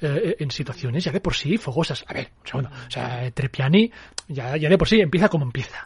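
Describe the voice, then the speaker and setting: A fairly high-pitched, somewhat breathy man's voice at a fairly quick pace with lively intonation. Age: 30s. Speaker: film critic. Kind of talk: casual film discussion.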